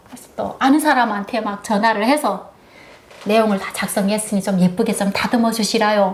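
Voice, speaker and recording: There is noticeable background noise as a woman talks at a fairly quick pace. Her fairly high voice carries a slight North Hamgyong accent. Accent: slight Hoeryong dialect. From North Korea, North Hamgyong (Hoeryong). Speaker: North Korean defector, instructor. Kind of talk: casual chat.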